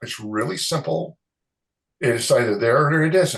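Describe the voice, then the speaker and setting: This man's voice sits fairly high in pitch and sounds somewhat breathy. He keeps a moderate pace. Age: 60s. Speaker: concrete moisture expert, chemist. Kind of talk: interview. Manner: halting.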